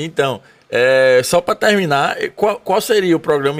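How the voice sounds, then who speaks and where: This is a normal speaking voice with lively intonation, delivered at a fairly slow pace. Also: man. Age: 30s. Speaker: podcast host. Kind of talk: casual interview chat. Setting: studio.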